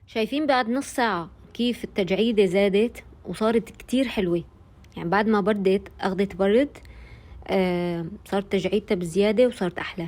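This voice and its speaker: A woman speaks in an Aleppo accent at a moderate pace. Her pitch is medium, with ordinary variation. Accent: Aleppo Syrian Arabic. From Syria, Aleppo. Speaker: cooking channel host. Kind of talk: cooking tutorial.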